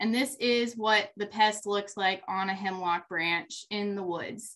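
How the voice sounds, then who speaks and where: A woman speaks with a bright, sharp tone and fairly even intonation. Her background is quiet. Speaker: presenter. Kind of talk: lecture. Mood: friendly, slightly nervous laughs. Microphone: webcam.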